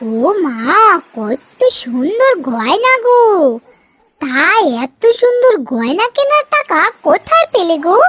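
In a cartoonish character voice, a female-sounding speaker goes extremely high in pitch with very wide swings, moving at a fairly slow pace.

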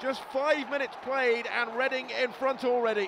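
Noticeable background noise sits behind a man whose extremely high voice has an animated tone. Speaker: football commentator. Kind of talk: live sports commentary, match highlights voiceover. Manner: fast-paced, animated play-by-play; urgent, excitable at key moments.

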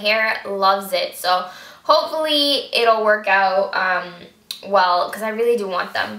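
Audible room echo surrounds a woman speaking in a fairly high pitch. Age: 20s. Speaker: beauty vlogger. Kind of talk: product review vlog. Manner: animated. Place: home room. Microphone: camera far.

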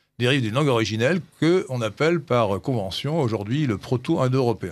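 A man speaks at a fairly quick pace with lively intonation and medium pitch. The background is quiet. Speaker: radio host. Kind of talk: radio discussion. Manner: halting.

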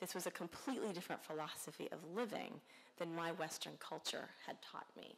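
A fairly low-pitched woman's voice at a fairly quick pace, with ordinary pitch variation. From US South, Alabama. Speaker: government geographer; keynote speaker. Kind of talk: keynote speech. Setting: conference stage with audience. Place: hall. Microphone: podium.

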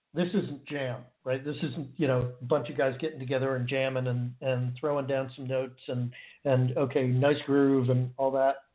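A man with an American accent speaks at a moderate pace, barely pausing at all. His medium-pitched voice has a monotone, flat intonation. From United States. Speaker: guitarist. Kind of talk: casual interview chat.

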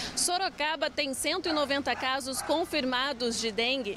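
Over noticeable background noise, a woman's high voice carries lively intonation in a dry sound with no echo. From Brazil. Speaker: TV reporter. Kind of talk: TV news report voiceover. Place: street. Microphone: handheld.

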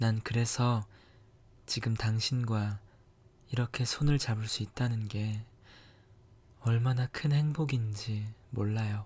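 Somewhat breathy, a man at medium pitch speaks very slowly with fairly even intonation and long, frequent pauses, in a very clean recording with a silent background. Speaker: ASMR creator. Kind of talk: scripted romantic ASMR monologue, whispered. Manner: soft, intimate, slow, tender.

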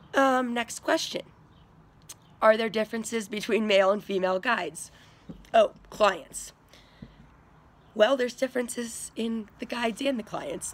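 A woman with a Western US accent at a moderate pace, broken by long, frequent pauses. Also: fairly high pitch for a woman, ordinary pitch variation. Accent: American, Western US. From Durango, Colorado. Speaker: fly fishing guide. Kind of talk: casual talk to camera. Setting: home recording. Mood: cheerful, laughing. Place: home room. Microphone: phone near.

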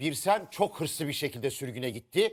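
An animated man with very wide pitch swings on a very clean recording with a silent background. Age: 60s. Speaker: TV panelist. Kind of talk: studio panel discussion.

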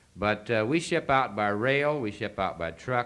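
This voice speaks with a Western US accent and a lively intonation. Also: man. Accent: Western American. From Idaho. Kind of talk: convention speech. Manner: halting. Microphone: old recording.

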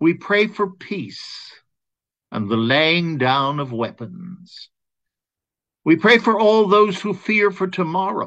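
The voice has a solemn tone and very wide pitch swings, moving at a very slow pace. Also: man, quiet background. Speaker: caregiving advocate and host. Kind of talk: fervent prayer. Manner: solemn, heartfelt, measured. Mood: calm, solemn, gentle. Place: home room. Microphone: webcam.

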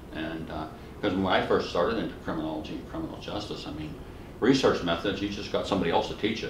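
With an American accent, a man talks very fast in a very deep, low pitch with ordinary pitch variation, and noticeable background noise can be heard. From Western Pennsylvania, US. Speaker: criminology professor. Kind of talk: oral history interview. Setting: academic conference. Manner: humorous storyteller. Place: home room.

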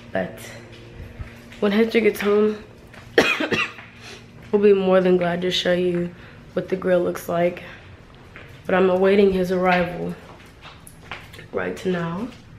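A woman speaks at a fairly slow pace with long, frequent pauses, her pitch medium and her intonation monotone and flat. Noticeable background noise sits behind her. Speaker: vlogger. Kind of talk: casual talk to camera.

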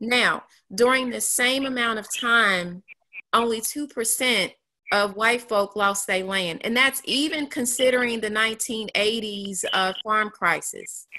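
Very slowly and with fairly even intonation, a woman with an American accent speaks in a bright, sharp, fairly high voice over a quiet background. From Kansas City. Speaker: attorney. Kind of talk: panel discussion. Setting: video call. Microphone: video call.

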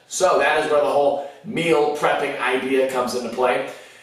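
Strong room echo surrounds a man speaking at a moderate pace. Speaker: fitness food vlogger. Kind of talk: casual vlog chat. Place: kitchen.

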